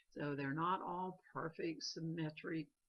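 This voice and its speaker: A woman with an American accent speaks at a very slow pace. Her pitch is fairly low. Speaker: art teacher. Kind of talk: tutorial.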